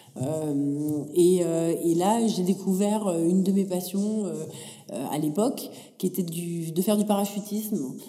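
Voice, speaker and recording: Over noticeable background noise, a woman speaks at a medium pitch. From France, Paris region, adolescence in Africa. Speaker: tech entrepreneur. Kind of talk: interview.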